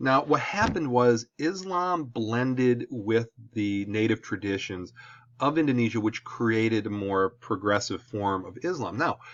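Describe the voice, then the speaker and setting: A man with an American accent, medium pitch and lively intonation. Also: fairly slow pace. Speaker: high school history teacher. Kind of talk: lecture. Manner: casual, conversational.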